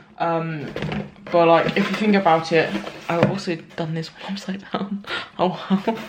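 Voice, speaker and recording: Amid noticeable background noise, a woman with a London accent speaks with fairly even intonation and long, frequent pauses. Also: fairly low pitch for a woman, moderate pace. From London, UK. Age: 20s. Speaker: small sauce business owner. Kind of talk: casual vlog talk to camera.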